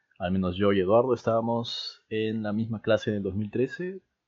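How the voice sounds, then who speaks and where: A man talks at a moderate pace in a fairly low pitch, with fairly even intonation. It is an ordinary speaking voice. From Peru. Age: 20s. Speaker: podcast co-host, university student. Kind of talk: casual chat.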